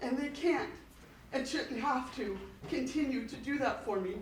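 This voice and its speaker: Amid noticeable background noise and audible room echo, a woman speaks at a high pitch. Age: 50s. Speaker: school district employee, public commenter. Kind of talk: public comment at board meeting. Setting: school board meeting.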